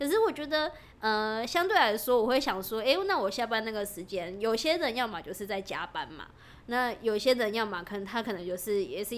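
Fairly quick, lively speech from a woman with a plain, everyday voice at a fairly high pitch, with big swings in loudness. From Taiwan, Taoyuan (Zhongli/Pingzhen). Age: 20s. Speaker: podcast co-host, startup employee. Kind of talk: casual chat.

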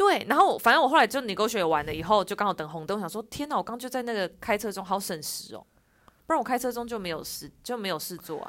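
Talking at a very fast pace, a woman shows lively intonation and big swings in loudness in a very clean recording with a silent background. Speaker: podcast co-host. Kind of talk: casual chat. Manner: odd, affected enunciation.

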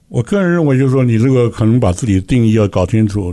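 A man talks at a very fast pace in a dark, mellow tone. The background is quiet. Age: 60s. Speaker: company chairman. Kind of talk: radio interview.

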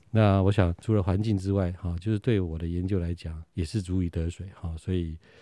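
Speaking at a fairly quick pace with hardly any pauses, a man uses a very deep, low voice with a dark, mellow tone and fairly even intonation. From Taiwan, Nantou. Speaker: history professor. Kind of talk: interview. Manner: halting, many fillers.

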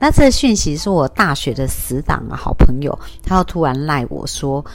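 A woman is speaking. Her pace is moderate. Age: 50s. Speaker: life coach podcaster. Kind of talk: solo podcast talk.

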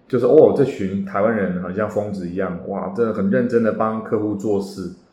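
Audible room echo surrounds a man speaking at a moderate pace. His pitch is fairly low, with ordinary variation. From Taiwan. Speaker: real estate agent and podcast host. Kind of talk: podcast monologue. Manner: many hesitation fillers.

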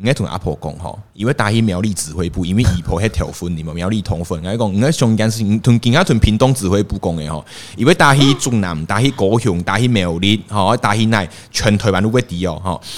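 The speech runs at a fairly quick pace with hardly any pauses and ordinary pitch variation. Noticeable background noise sits behind it. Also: man, fairly low pitch for a man. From Taiwan, Pingtung Zhutian (Hakka area). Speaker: podcast guest. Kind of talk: casual chat.

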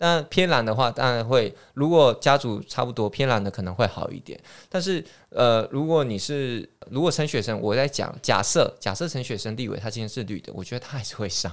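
A man's medium-pitched voice at a fairly quick pace, with lively intonation and big swings in loudness, on a very clean recording with a silent background. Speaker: township office tourism official. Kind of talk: casual chat.

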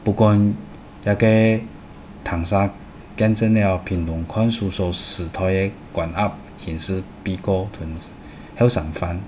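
A man's fairly low voice at a very slow pace, with fairly even intonation, long, frequent pauses and noticeable background noise. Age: 50s. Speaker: radio program host. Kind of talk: scripted narration.

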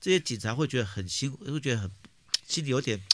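A normal speaking voice with lively intonation comes through a very clean recording with a silent background. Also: man. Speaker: political podcast co-host. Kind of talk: casual chat.

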